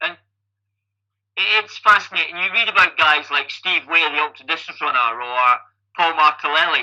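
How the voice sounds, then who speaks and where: A man with a Scottish accent talks in a bright, sharp tone. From Scotland, Falkirk. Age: 50s. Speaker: triathlon coach and age-group athlete. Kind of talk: podcast interview. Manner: animated.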